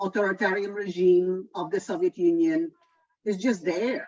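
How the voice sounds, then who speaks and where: A woman with a Polish accent at a very slow pace. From Poland. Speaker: environmental economist. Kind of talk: lecture.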